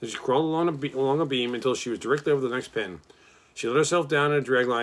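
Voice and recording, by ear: The clip is reading aloud in a natural voice.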